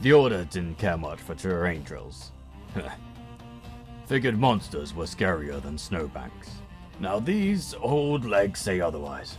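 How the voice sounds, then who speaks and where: A man uses a put-on character voice with a very deep, low pitch, at a fairly slow pace with long, frequent pauses. Clear music plays in the background. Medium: audio drama. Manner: gruff, dry.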